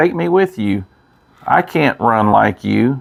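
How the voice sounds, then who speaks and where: Putting on a croaky character voice, a man talks fairly slowly at a medium pitch. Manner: pleading, loud.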